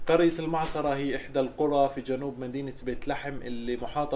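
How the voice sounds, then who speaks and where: A man talks fairly slowly in a room with audible echo, and noticeable background noise runs underneath. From Palestine, village south of Bethlehem. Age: 20s. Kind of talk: public talk.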